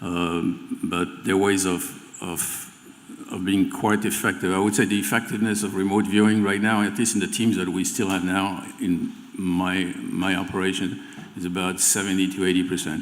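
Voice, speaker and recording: A man speaks in a French accent with monotone, flat intonation. Audible room echo surrounds his voice. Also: fairly low pitch for a man, moderate pace. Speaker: remote viewing teacher. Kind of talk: live panel discussion. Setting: stage with audience. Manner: halting, repeats words.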